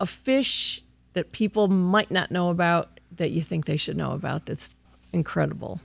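A woman with an unremarkable speaking voice talks at a moderate pace in a fairly low pitch, with ordinary pitch variation. The recording is very clean, with a silent background. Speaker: co-host. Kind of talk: interview.

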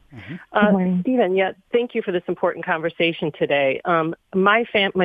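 A woman's normal speaking voice at a fairly low pitch with an American accent and ordinary pitch variation. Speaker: caller. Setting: phone call.

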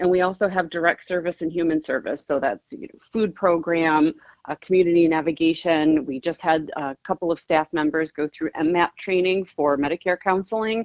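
A woman with a normal speaking voice talks at a moderate pace with hardly any pauses. Her pitch is fairly low, with ordinary variation. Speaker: nonprofit executive director. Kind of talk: radio interview.

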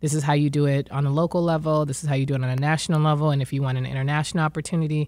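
A woman with a very deep, low pitch speaks at a very fast pace in a monotone, flat intonation with very even loudness, on a very clean recording with a silent background. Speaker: poet. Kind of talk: radio interview.

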